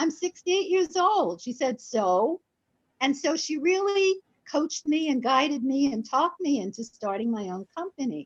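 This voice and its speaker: With a high pitch and very wide pitch swings, a woman speaks at a moderate pace in a dry, close sound with no echo. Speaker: business owner, event booking agent. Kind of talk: radio interview.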